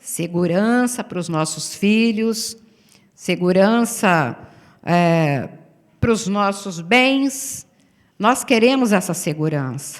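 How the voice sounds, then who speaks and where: A woman's medium-pitched voice with lively intonation, a very slow pace, long, frequent pauses, and audible room echo. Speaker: pastor. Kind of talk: sermon.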